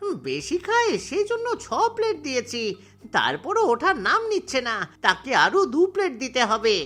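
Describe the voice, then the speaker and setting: A cartoonish character voice runs at a moderate pace with music in the background. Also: man. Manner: pleading, worried.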